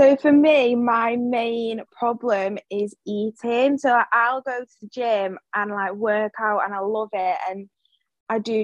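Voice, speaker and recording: In a dry, close recording with no echo, a woman with an English accent talks at a fairly slow pace with a fairly high pitch. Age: 20s. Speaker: small business owner and office worker. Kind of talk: casual interview.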